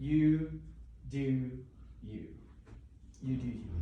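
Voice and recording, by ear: A croaky put-on character voice at a low-to-middle pitch, with a slight echo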